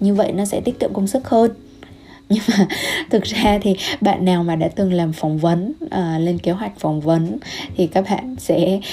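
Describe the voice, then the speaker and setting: Over noticeable background noise, a woman speaks at a medium pitch and moderate pace with ordinary pitch variation. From Vietnam. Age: young. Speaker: health coach and podcaster. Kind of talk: solo podcast monologue. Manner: gentle.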